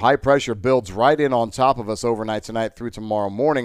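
Talking at a very fast pace, a man with an American accent and a medium pitch comes through on a very clean recording with a silent background. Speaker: meteorologist. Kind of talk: weather forecast.

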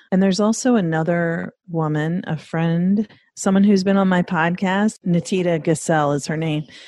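A woman's dark, mellow voice, fairly low in pitch, in an American accent at a moderate pace with hardly any pauses over a quiet background. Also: ordinary pitch variation. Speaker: trauma therapist and podcaster. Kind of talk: interview conversation.

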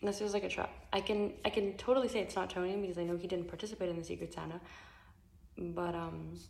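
A woman talks quietly at a very fast pace, her medium-pitched voice keeping a fairly even intonation. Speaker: secret Santa gift exchange participant. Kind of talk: recorded video message. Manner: speaking quietly.

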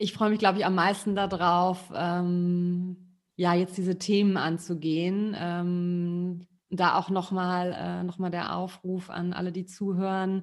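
Speaking very slowly, a woman keeps a fairly low pitch and monotone, flat intonation. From Rhineland, Germany. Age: 40s. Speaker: podcast co-host, co-founder. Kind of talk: casual chat.

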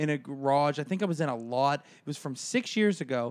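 A man's plain, everyday voice, fairly high in pitch, with ordinary pitch variation. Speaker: podcast co-host, comedian. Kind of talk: casual chat.

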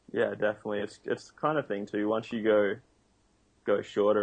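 A man talks with an Australian accent. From Australia, Noosa. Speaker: pro surfer and kite surfer. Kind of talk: interview.

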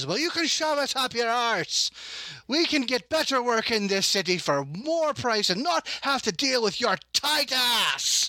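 Putting on a gruff character voice at an extremely high pitch, a man talks at a moderate pace. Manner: shouting, crude, furious.

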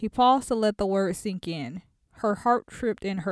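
With ordinary pitch variation, this clip is reading aloud in a natural voice.

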